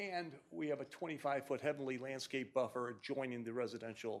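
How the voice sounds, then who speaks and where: Moving at a fairly quick pace, this is an ordinary speaking voice with ordinary pitch variation. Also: man. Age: 60s. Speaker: engineer presenting a development plan. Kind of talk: project presentation at public hearing. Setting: city commission meeting. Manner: casual, self-deprecating, with many fillers.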